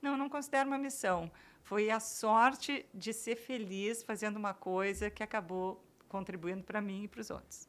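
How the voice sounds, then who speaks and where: A woman speaks in a normal speaking voice at a fairly high pitch. Her pace is moderate. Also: ordinary pitch variation. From Brazil. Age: 60s. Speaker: writer. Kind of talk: interview conversation.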